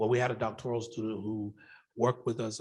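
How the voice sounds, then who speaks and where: In an American accent, a man with an ordinary speaking voice talks at a fairly quick pace and a fairly low pitch. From US South, Macon Georgia. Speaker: professor and researcher. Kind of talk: Q&A after a conference talk.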